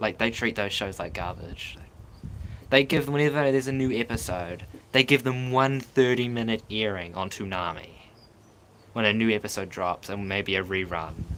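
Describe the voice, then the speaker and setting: A man with a New Zealand accent speaks in an animated tone. His pitch is fairly low and his pace moderate. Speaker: streamer. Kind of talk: live stream chat. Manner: casual, animated.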